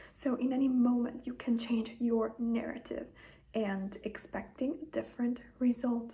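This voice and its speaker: A woman speaks in a high voice with a dark, mellow tone, a fairly slow pace and flat, monotone intonation. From Italy. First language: Italian. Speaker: manifestation content creator. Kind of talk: casual talk to camera. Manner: conversational, informal.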